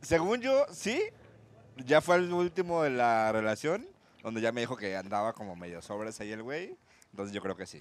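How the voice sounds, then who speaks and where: This man's voice sits at a medium pitch. His pitch swings very widely. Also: moderate pace. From Guadalajara, Mexico. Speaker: stand-up comedian. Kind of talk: casual interview chat.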